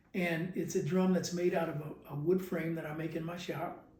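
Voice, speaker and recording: A man's high-pitched voice, dark and mellow in tone, flat and monotone at a moderate pace, with audible room echo. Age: 70s. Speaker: percussionist and music teacher. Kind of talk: interview. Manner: halting, many repetitions.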